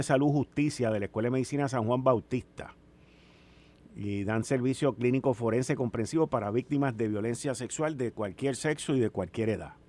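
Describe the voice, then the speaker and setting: A man with an unremarkable speaking voice talks at a moderate pace and medium pitch, with ordinary pitch variation. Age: 60s. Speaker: radio host. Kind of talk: radio talk show.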